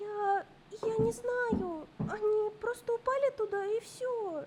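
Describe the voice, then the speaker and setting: Over clear background noise, a cartoonish character voice with an extremely high pitch speaks at a fairly slow pace. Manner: hesitant, apologetic.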